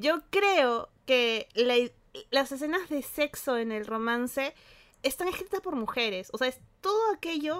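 A woman with a high pitch speaks at a very slow pace, her pitch swinging very widely. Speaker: podcast co-host. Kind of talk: casual chat.

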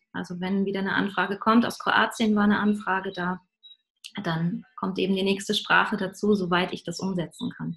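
Speech comes at a moderate pace. Its intonation is flat and monotone. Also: woman. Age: 30s. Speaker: singer and spiritual songwriter. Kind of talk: interview.

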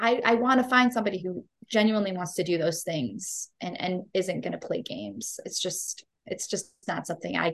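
At a moderate pace, a woman speaks with vocal fry, medium pitch and ordinary pitch variation. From US Midwest (Cleveland, Ohio). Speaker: nurse and life coach. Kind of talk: casual interview chat.

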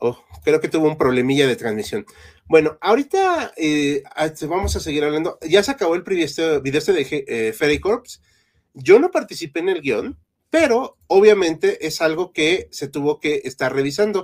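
Lively intonation marks this man's high-pitched voice at a moderate pace. The recording is very clean, with a silent background. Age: 30s. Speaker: history podcast host. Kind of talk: live-stream chat.

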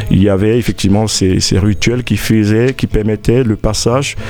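A man talks at a fairly low pitch. Noticeable background noise runs behind him. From Ivory Coast (Abidjan), Burkinabe parents. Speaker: festival organizer. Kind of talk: interview. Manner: halting, many fillers.

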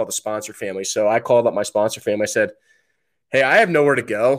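The recording is very clean and the background silent. An unremarkable speaking voice delivers the words fairly quickly. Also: man. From New Jersey. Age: 30s. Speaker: military veteran and podcast host. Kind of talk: podcast interview.

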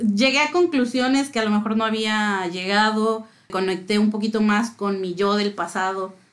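A woman with a fairly high pitch and ordinary pitch variation has an unremarkable speaking voice. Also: moderate pace. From Mexico City. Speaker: music fan guest. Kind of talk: casual chat.

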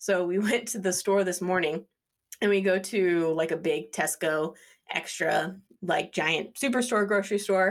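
With a normal speaking voice, the intonation remains fairly even throughout. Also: woman. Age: 30s. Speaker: podcast co-host. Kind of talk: casual chat. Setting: video call.

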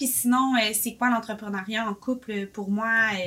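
The speech moves at a very slow pace with fairly even intonation. Noticeable background noise runs throughout. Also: woman. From Quebec, Boisbriand. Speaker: café owner, entrepreneur. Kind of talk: casual interview.

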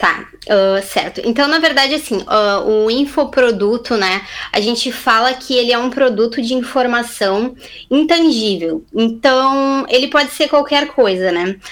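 Here a woman speaks at a high pitch. Her pace is fairly slow, with ordinary pitch variation. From southern Brazil, Camaquã (Rio Grande do Sul). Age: 20s. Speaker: digital entrepreneur. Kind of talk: casual interview chat. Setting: video call.

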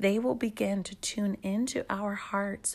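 A woman speaks at a fairly slow pace with a medium pitch. Her voice is somewhat breathy. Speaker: podcast host. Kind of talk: casual devotional talk.

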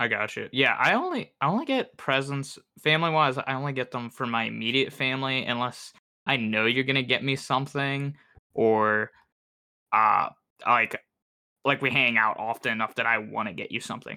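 A man speaks at a medium pitch and a moderate pace. His tone is bright and sharp, with ordinary pitch variation. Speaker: podcast host. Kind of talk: casual chat.

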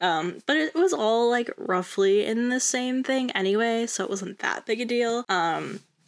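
A woman's voice with ordinary pitch variation. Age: 20s. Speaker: podcast host. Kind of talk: casual monologue. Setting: recorded at night. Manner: rambling, with frequent laughs.

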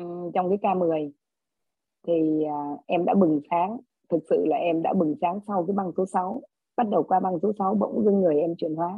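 There's an unremarkable speaking voice from a woman, fairly low in pitch. She talks at a moderate pace with ordinary pitch variation. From Vietnam, lives in Australia. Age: 40s. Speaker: course participant. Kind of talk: testimony. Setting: video call.

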